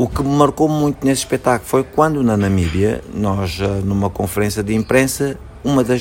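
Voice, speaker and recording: A man talks at a moderate pace in a fairly low voice, with lively intonation. Background noise is noticeable. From Angola, Luanda. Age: 40s. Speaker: actor and theatre director. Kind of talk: interview.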